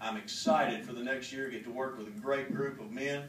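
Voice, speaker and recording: Someone talks at a moderate pace with an American accent over noticeable background noise. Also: man. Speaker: auctioneer, association president. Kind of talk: acceptance speech to an audience. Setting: large room, live event.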